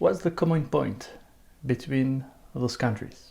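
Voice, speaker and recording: In a French accent, a man with a medium pitch and a somewhat breathy voice speaks at a very slow pace with ordinary pitch variation. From France or French-speaking country. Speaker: French teacher. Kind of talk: tutorial.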